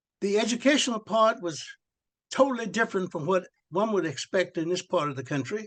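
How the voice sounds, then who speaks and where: The speaker has an American accent and lively intonation. The pace is fairly quick. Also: man, high pitch for a man. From Texas. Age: 80s+. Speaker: retired school administrator. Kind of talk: interview. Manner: halting, many fillers.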